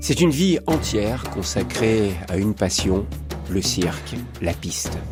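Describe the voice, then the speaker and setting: Over music in the background, a man with a very deep, low pitch talks at a very slow pace with lively intonation. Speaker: radio interviewer. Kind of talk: radio interview questions.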